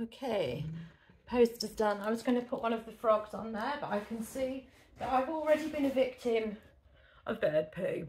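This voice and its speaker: Here is a woman with an English accent. Her pitch is fairly high and varies in an ordinary way. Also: moderate pace. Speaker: eBay reseller. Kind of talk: casual vlog talk to camera.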